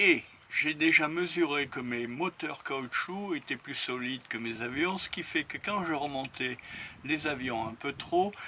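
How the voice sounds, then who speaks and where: This man has a fairly high pitch. He speaks at a very slow pace. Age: 70s. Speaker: model aircraft hobbyist. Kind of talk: interview testimony. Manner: hesitant, many fillers.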